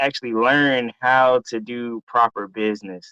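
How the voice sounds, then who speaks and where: Speaking with an American accent, a man has a plain, everyday voice. His pitch is medium, and his pace is fairly slow. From US South, Atlanta, Georgia. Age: 20s. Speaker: entrepreneur and drone operator. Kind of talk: interview.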